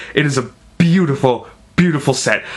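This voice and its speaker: A man talks at a fairly quick pace with fairly even intonation. Noticeable background noise runs under his voice. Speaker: vlogger reviewing theatre. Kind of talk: casual vlog review. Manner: fast; halting, many fillers and restarts.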